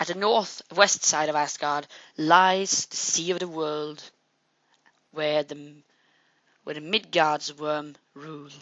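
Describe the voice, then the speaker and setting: A woman with a very deep, low pitch talks at a very slow pace with fairly even intonation, long and frequent pauses, and big swings in loudness. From Norway. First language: Norwegian. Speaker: mythology video narrator. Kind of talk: educational narration. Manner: halting, with restarts.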